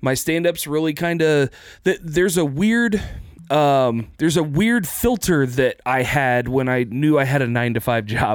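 In a very clean recording with a silent background, a man with a fairly high pitch speaks fairly slowly, his loudness very even and his intonation lively. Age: 30s. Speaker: stand-up comedian. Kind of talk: casual chat. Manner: halting.

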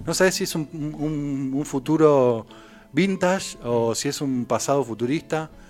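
A man with a Rioplatense accent talks at a fairly high pitch with ordinary pitch variation. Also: fairly slow pace. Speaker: film commentator. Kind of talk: casual chat.

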